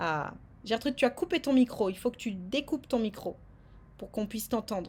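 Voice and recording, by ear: The voice moves at a moderate pace with lively intonation and a slightly mellow tone. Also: woman, fairly high pitch for a woman.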